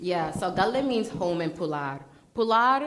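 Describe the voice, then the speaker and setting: Animated and at a moderate pace, a woman with an American accent speaks amid audible room echo. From Brooklyn, New York. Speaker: pitch competition contestant. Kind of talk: Q&A after a pitch. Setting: stage with audience.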